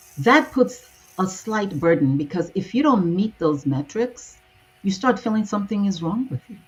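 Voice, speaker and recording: The speech moves at a moderate pace, with very wide pitch swings and big swings in loudness. Music plays in the background. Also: woman, medium pitch for a woman. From Nigeria. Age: 60s. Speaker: transformational coach. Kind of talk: interview.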